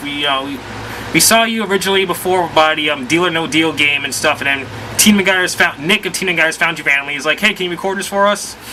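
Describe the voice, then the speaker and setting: A man's high-pitched voice at a fairly quick pace, with ordinary pitch variation, over noticeable background noise. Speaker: video game vlogger. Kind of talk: casual vlog. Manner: rambling, halting.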